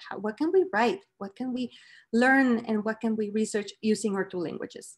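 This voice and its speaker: A woman with a Mexican accent speaks at a moderate pace, fairly high in pitch and somewhat breathy, with ordinary pitch variation. The background is quiet. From Mexico. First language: Spanish. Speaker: professor. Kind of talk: lecture. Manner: hesitant, many fillers.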